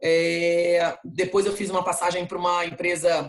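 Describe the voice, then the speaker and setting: A woman speaks at a fairly low pitch with a monotone, flat intonation. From Brazil, Rio de Janeiro. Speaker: marketing executive. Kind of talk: interview. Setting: video call.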